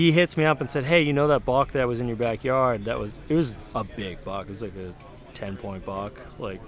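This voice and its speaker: A man with an American accent speaks at a moderate pace and medium pitch, his intonation lively. His loudness swings widely, and there is noticeable background noise. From Massachusetts, South Shore. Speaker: duck hunter and content creator. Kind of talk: casual podcast chat. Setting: recorded at an outdoor event.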